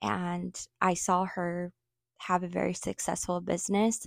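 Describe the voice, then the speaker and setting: In an American accent, a woman speaks very slowly with a fairly low pitch and monotone, flat intonation, on a very clean recording with a silent background and a dry, close sound with no echo. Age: 40s. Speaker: small fashion business owner. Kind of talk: casual interview.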